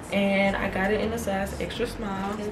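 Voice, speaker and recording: A woman speaks at a fairly slow pace. Noticeable background noise is present. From Baton Rouge, Louisiana. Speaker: nursing student. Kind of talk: casual vlog talk to camera. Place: home room.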